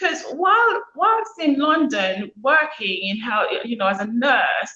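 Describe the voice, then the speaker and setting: In a Montserratian accent, a woman uses a raised, projected voice with a bright, sharp tone and very wide pitch swings. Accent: Montserratian Caribbean English. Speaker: author and former nurse. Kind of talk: interview.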